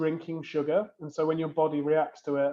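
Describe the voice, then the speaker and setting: With a British accent, a man speaks at a moderate pace in a fairly high pitch. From UK. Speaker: beverage company co-founder and CEO. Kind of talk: interview.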